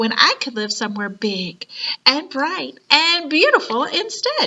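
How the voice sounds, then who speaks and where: A woman speaks fairly slowly in a put-on character voice. Her pitch is high. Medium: read story. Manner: polite, gentle.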